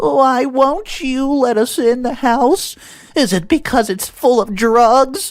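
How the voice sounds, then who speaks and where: Putting on a character voice, a man speaks at an extremely high pitch and a fairly slow pace, with lively intonation. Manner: falsely sweet, accusatory.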